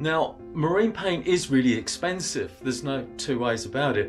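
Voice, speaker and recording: Music plays in the background as a man speaks. He keeps a moderate pace with ordinary pitch variation. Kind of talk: tutorial. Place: home room.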